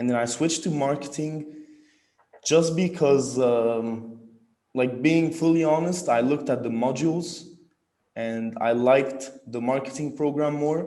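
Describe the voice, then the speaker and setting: With audible room echo around him, a man speaks at a moderate pace in a fairly high pitch with ordinary pitch variation. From Egypt, Cairo. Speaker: university student. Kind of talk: interview. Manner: halting, many fillers.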